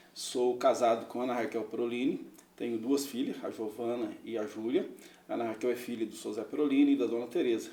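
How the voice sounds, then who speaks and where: The room echo can be heard. A man's speech moves fairly quickly. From Minas Gerais, Brazil (Araxá). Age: 50s. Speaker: businessman and mayoral candidate. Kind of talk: interview.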